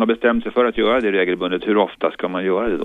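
A man talks at a fairly quick pace with a fairly low pitch in an ordinary speaking voice. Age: 50s. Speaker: caller. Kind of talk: call-in question. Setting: phone call.

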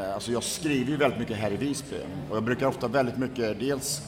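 With audible room echo, a man speaks fairly quickly at a medium pitch, his pitch varying in an ordinary way. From Sweden, Borås. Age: 40s. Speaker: author and former party strategist. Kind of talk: interview conversation.

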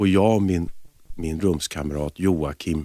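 Here a man talks in a very deep, low voice. The sound is dry and close, with no echo. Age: 50s. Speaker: jazz singer. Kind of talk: radio interview.

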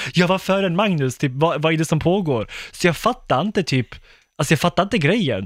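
A man talks at a fairly quick pace in a high voice with lively intonation and very even loudness. The recording is very clean, with a silent background. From Skåne, southern Sweden. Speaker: YouTuber and TV presenter. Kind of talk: podcast interview.

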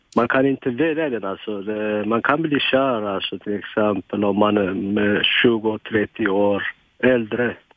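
With ordinary rises and falls, a man's fairly low voice moves at a very slow pace. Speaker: caller. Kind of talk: call-in conversation. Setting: phone call. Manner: halting.

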